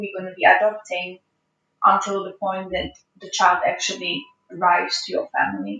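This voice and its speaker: A woman speaks with an ordinary speaking voice at medium pitch. Her pace is moderate and her intonation fairly even. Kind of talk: podcast host interview.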